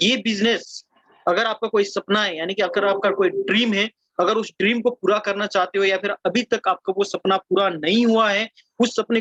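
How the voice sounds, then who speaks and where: A man at high pitch and moderate pace, with fairly even intonation and a dry, close sound with no echo. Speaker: network marketing presenter. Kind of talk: sales pitch. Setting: video call.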